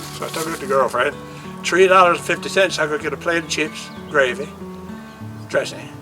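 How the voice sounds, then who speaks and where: A man speaks with a Newfoundland accent as music plays in the background. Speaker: artist and storyteller. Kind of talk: casual storytelling. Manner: animated, humorous.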